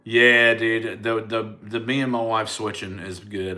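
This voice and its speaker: With an American accent, a man at medium pitch speaks in a bright, sharp tone, and room echo is audible. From US South, Mobile, Alabama. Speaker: comedian. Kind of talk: casual chat. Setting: livestream. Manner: casual, stammering repetitions.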